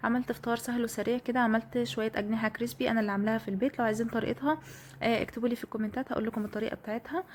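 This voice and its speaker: At a very fast pace, a woman speaks with a fairly high pitch and ordinary pitch variation. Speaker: home vlogger. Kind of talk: vlog voiceover narration. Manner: casual, hesitant fillers.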